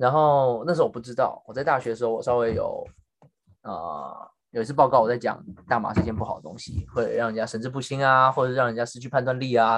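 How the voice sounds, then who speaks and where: Very fast speech comes from a man whose pitch is medium and varies in an ordinary way. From Taiwan. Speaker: podcast co-host. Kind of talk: casual chat.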